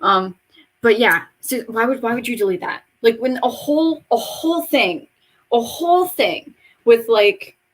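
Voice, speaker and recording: Loud and high-pitched, a woman talks at a fairly slow pace with lively intonation. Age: 20s. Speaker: beauty vlogger. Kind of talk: casual vlog monologue.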